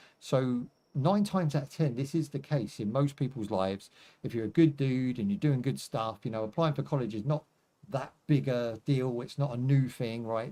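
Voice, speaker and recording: Relaxed in tone, a man talks at a moderate pace and a medium pitch. His voice is dark and mellow, with ordinary pitch variation. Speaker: gaming livestreamer. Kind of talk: casual livestream chat. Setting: live stream. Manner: relaxed, conversational.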